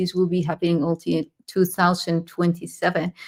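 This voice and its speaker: On a very clean recording with a silent background, a woman speaks in a fairly low pitch. Her intonation is monotone and flat. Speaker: spiritual livestream host. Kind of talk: live transmission talk. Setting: livestream. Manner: halting with fillers.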